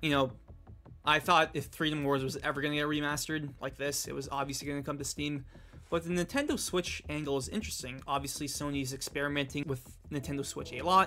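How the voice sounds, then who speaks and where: Words come at a fairly quick pace. The voice sounds bright and sharp. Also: man, fairly high pitch for a man. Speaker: gaming YouTuber. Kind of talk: video game news reaction. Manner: fast; animated.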